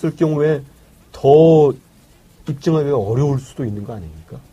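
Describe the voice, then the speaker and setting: His tone dark and mellow and somewhat breathy, a man talks at a moderate pace with a fairly high pitch and ordinary pitch variation. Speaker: journalist, editorial writer. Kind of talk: casual political talk.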